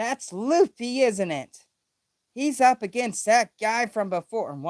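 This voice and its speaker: Using a put-on character voice, a man speaks at a fairly slow pace in an extremely high pitch. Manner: cute, high-pitched.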